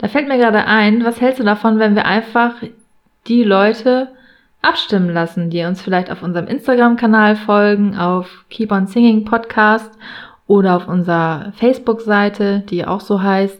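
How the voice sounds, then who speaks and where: A fairly high female voice at a moderate pace, with fairly even intonation. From northern Germany, near Hamburg (Buxtehude). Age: 30s. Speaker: fan podcast co-host. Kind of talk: casual chat.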